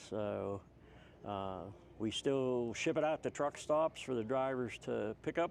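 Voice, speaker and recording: A man with a plain, everyday voice speaks at a moderate pace and medium pitch. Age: 60s. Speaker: trucking magazine publisher. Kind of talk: casual chat.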